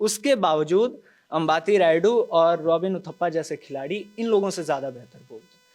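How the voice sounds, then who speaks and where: Over background music, a man with a Bihari accent speaks in a high pitch with ordinary pitch variation, big swings in loudness and hardly any pauses. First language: Bhojpuri (speaking Hindi). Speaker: journalist on a news panel show. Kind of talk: panel discussion. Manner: animated.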